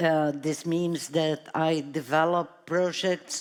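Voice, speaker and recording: At a very slow pace, a woman with a Brazilian accent speaks in a very deep, low pitch. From Brazil, São Paulo. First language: Portuguese. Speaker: artist. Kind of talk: panel talk.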